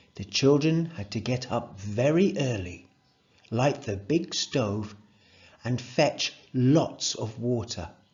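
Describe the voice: The intonation is lively throughout this plain reading aloud.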